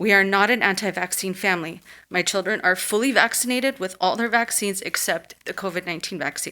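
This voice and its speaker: A shaky, bright, sharp voice at a fairly quick pace with fairly even intonation, on a very clean recording with a silent background. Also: woman. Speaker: parent giving public comment. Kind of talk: public comment at school board meeting. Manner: shaky voice.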